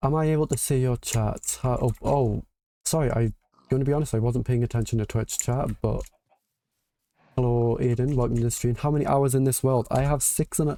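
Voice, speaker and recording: Speaking at a fairly quick pace with a northeastern English accent, a man has a medium pitch, a dark, mellow tone and fairly even intonation. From northeast England. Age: 20s. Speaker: gaming streamer. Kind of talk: casual live-stream chat. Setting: live stream.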